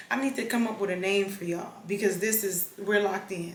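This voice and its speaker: A woman with an American accent speaks at a moderate pace and medium pitch. Audible room echo and noticeable background noise are present. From Los Angeles, South Central. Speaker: vlogger. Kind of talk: casual vlog chat.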